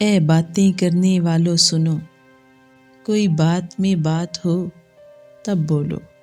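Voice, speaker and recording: Over music in the background, a woman speaks in a fairly low pitch with monotone, flat intonation and very even loudness. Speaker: poet. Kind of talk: poetry reading.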